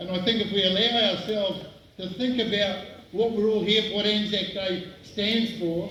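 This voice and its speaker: With a New Zealand accent, a man with a high pitch raises and projects his voice in a monotone, flat delivery at a moderate pace, amid noticeable background noise and audible room echo. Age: 70s. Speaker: guest speaker at memorial service. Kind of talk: commemorative speech. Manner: halting.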